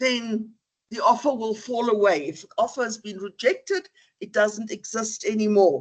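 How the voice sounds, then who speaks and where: A woman with a non-native accent, a fairly high pitch, lively intonation, big swings in loudness and a moderate pace. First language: not English. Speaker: law lecturer. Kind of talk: lecture.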